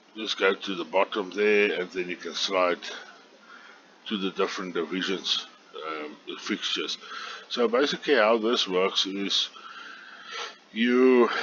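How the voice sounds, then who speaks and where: With a South African accent, a man speaks fairly slowly at a fairly low pitch with ordinary variation, leaving long, frequent pauses, over noticeable background noise. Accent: Afrikaans South African. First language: Afrikaans. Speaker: online golf club organizer. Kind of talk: screen tutorial. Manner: halting, many fillers.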